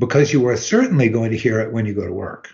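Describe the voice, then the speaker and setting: A man with a somewhat breathy voice. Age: 70s. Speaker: retired lawyer and blogger. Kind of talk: casual chat.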